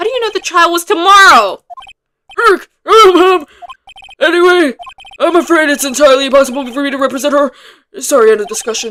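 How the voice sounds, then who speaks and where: Doing a put-on character voice, a woman speaks at a fairly quick pace and high pitch with very wide pitch swings and long, frequent pauses. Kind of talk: comic game-character voicing. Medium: virtual streamer. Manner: grand, pompous, slightly flustered.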